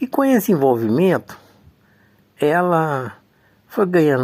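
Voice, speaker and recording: A man's pitch swings very widely as he talks very slowly. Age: 70s. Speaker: community activist recounting life story. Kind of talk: personal testimony / memoir talk. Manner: halting, with frequent fillers and repetitions.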